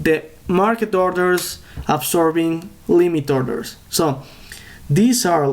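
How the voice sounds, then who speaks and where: With a Spanish accent, a man talks at a very slow pace in a fairly high pitch, his intonation lively. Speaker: day trader and trading educator. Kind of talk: tutorial. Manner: halting.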